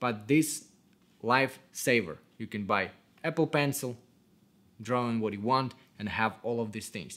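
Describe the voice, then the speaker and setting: With a non-native accent, a man speaks at medium pitch and a fairly slow pace, using long, frequent pauses and ordinary pitch variation. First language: not English. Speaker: cinematographer. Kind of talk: tutorial. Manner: casual. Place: home room.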